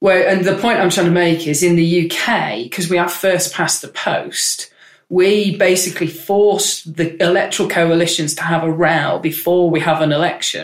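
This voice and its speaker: A woman with a northern English accent talks at a moderate pace with hardly any pauses. Her pitch is fairly low and her intonation fairly even. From Manchester, northern England. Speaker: member of parliament. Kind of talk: casual interview chat. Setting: office.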